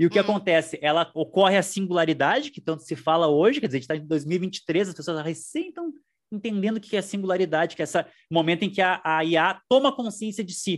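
A man with a high voice, recorded very cleanly against a silent background. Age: 40s. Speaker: historian and university professor. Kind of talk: interview. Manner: halting, repeats words.

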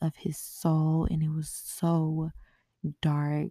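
Very deep and low in pitch, a woman's somewhat breathy voice carries a dark, mellow tone, dry and close with no echo, on a very clean recording with a silent background. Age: 20s. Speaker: podcast host. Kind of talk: personal storytelling monologue. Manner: casual, conversational.

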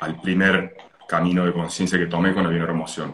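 A man's very deep, low voice at a moderate pace. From Italy and Argentina, moved often. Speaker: holistic therapy consultant. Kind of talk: casual interview.

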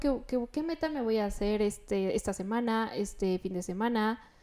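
A woman speaks at a moderate pace with a fairly high pitch, a dark, mellow tone and ordinary pitch variation, on a very clean recording with a silent background. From León, Guanajuato, Mexico. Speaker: interior designer. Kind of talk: interview.

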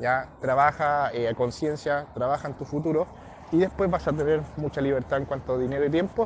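Fairly quick and fairly even in intonation, a man speaks with a fairly high pitch. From southern Chile. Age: 20s. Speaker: network marketing entrepreneur, former footballer and fitness trainer. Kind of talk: motivational testimony. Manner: hesitant, with many fillers.

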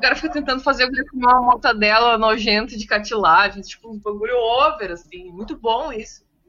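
In an unremarkable speaking voice, a woman with a fairly high pitch and ordinary pitch variation speaks with hardly any pauses and big swings in loudness. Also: fairly quick pace. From southern Brazil, Viamão (Rio Grande do Sul). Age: 30s. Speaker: podcast co-host. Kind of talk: casual chat.

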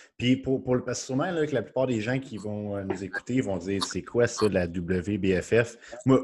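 With a Quebec accent, a man talks at a fairly slow pace using lively intonation. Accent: Québécois French. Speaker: podcast host. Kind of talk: casual interview.

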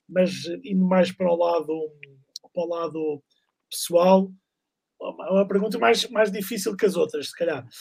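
A man speaks at a moderate pace. His pitch is high for a man. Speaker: podcast host. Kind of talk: interview. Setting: live stream.

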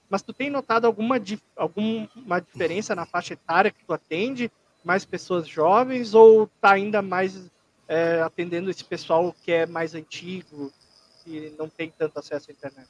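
The sound is dry and close, without echo. A man speaks in a high pitch. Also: ordinary pitch variation, moderate pace. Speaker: podcast co-host. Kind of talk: casual chat.

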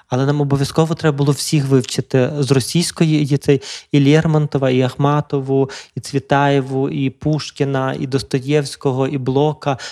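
The recording is very clean and silent behind, with a dry, close sound and no echo. A man with a dark, mellow tone and fairly high pitch talks at a moderate pace in a flat monotone. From western Ukraine, Lviv region (Drohobych). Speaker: psychotherapist, podcast host. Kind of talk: casual chat. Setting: studio.

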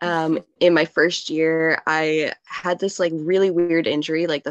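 A woman talks at a fairly slow pace. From Southern Ontario. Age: 20s. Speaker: tree planter. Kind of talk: casual interview.

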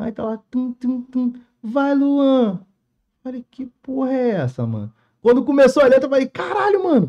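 A man's extremely high pitch in a dark, mellow tone, with ordinary pitch variation, big swings in loudness and a moderate pace. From Rio de Janeiro, Rocinha favela. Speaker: funk MC and TikTok creator. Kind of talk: casual chat.

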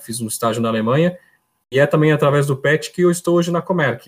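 The voice is somewhat breathy, with ordinary pitch variation. It is recorded very cleanly against a silent background. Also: man. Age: 30s. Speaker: electrical engineer. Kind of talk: casual interview. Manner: halting, repeats words.

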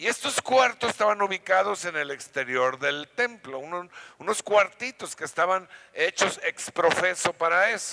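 With a bright, sharp tone and lively intonation, a man speaks fairly slowly in a high, raised and projected voice, the sound dry and close with no echo. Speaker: pastor. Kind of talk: sermon. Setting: church.

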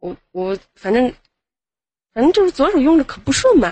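A woman with a high pitch speaks at a moderate pace, her voice making very wide pitch swings. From Xi'an, Shaanxi, China. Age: 20s. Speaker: nail salon owner calling in. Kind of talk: casual chat.

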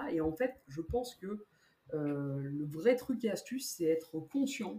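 Her voice has a dark, mellow tone and is somewhat breathy, with very wide pitch swings. The woman speaks at a fairly slow pace. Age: 30s. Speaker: amateur runner, bank account manager. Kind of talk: casual interview.

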